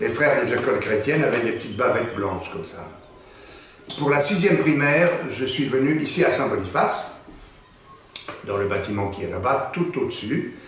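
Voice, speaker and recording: Lively intonation broken by long, frequent pauses, with audible room echo and noticeable background noise. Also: man, fairly high pitch for a man. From Belgium, Brussels. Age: 70s. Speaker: actor. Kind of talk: interview, personal recollection. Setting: school archive room. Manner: slow, measured.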